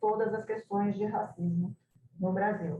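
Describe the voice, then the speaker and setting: A woman speaks with a Brazilian accent. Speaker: translation scholar. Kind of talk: academic presentation. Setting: video call. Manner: halting.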